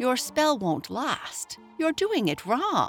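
A put-on character voice, fairly high and very slow, with very wide pitch swings over clear background music. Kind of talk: posh. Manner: superior, correcting.

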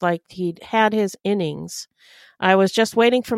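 Over a quiet background comes plain reading aloud with ordinary pitch variation.

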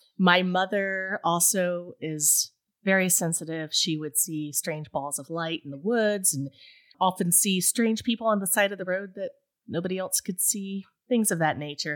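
A woman with an Appalachian accent, ordinary pitch variation, and a very clean recording against a silent background. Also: medium pitch for a woman, moderate pace. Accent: Appalachian US Southern. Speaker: podcast host, ghost story podcaster. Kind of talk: casual chat.

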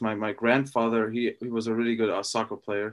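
At a moderate pace, a man with a German accent speaks in a medium pitch. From Austria. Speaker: professional football player. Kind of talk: interview. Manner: halting.

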